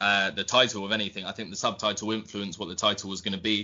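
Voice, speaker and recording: A man speaks at a very fast pace with a southern English accent. His pitch is fairly low and his intonation fairly even. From southern England, Southampton. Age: 20s. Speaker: football writer. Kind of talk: interview.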